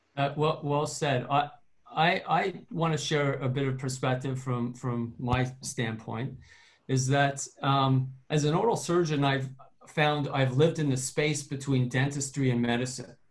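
A man's fairly high, somewhat breathy voice, fairly slow, with fairly even intonation. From Canada. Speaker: dentist. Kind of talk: panel discussion.

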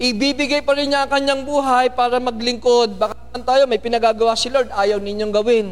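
A man at an extremely high pitch, speaking at a fairly quick pace with fairly even intonation and hardly any pauses. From Philippines. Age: 50s. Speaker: pastor. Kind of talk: sermon.

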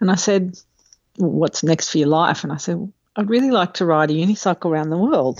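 A woman with an unremarkable speaking voice talks at a fairly quick pace, her pitch fairly low and its variation ordinary. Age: 50s. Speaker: government accountant and unicycle adventurer. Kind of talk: casual chat.

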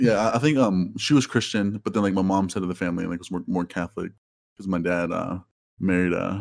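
A man speaks at a very fast pace in a very deep, low voice. His pitch varies in an ordinary way. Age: 20s. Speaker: graduate student. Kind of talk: casual chat.

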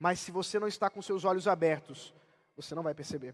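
A very clean recording with a silent background captures this voice. It belongs to a man. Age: 30s. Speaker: pastor. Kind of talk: sermon.

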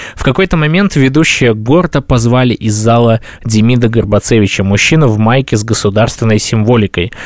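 At a fairly quick pace, a man speaks in a normal speaking voice with medium pitch and ordinary pitch variation. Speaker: podcast host. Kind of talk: casual chat.

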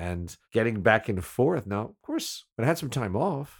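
On a very clean recording with a silent background, a man talks at a moderate pace in a relaxed tone, with vocal fry and very wide pitch swings. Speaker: former radio DJ, podcast host. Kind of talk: casual storytelling monologue. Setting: home recording, solo. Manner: relaxed, rambling.

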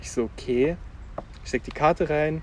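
A man's unremarkable speaking voice, moderate in pace, with fairly even intonation. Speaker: podcast host. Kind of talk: casual chat. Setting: outdoors.

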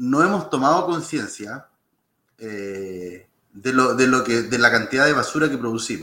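This man's voice has a medium pitch and a bright, sharp tone. His intonation is lively. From Chile, Lolol (sixth region). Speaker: government official. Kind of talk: interview.

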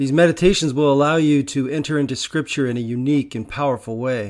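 A man speaks in a normal speaking voice at a medium pitch with ordinary pitch variation, on a very clean recording with a silent background. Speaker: Episcopal priest. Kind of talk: guided meditation, with an opening prayer. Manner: slow, calm, soothing, with long pauses; gentle, hushed, unhurried.

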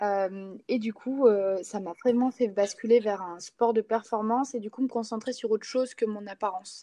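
Delivery comes at a moderate pace with hardly any pauses, in a dark, mellow tone and fairly even intonation, though loudness swings widely. The sound is dry and close, with no echo. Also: woman, fairly high pitch for a woman. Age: 20s. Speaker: sports coach. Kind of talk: casual interview.

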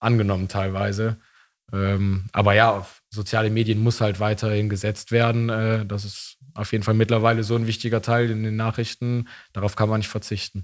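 A man's fairly low-pitched voice, with monotone, flat intonation, comes through on a very clean recording with a silent background. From East Belgium (German-speaking). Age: 20s. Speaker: youth party member, student. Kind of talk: casual interview.

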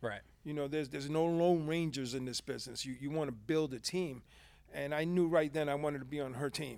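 A man with a fairly high pitch talks at a fairly quick pace with fairly even intonation. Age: 50s. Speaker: insurance agent, former hospice chaplain. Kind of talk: casual interview. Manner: halting.

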